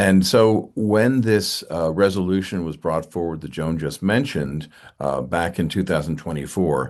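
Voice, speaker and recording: A man with vocal fry and lively intonation at a moderate pace, against a quiet background. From New England. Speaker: church finance council member. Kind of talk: online meeting presentation.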